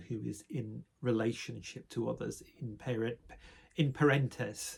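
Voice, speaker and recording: A somewhat breathy man at a fairly slow pace. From northern England, Sheffield, South Yorkshire. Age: 60s. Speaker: spiritual vlogger. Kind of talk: personal reflective monologue. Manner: hesitant, with fillers.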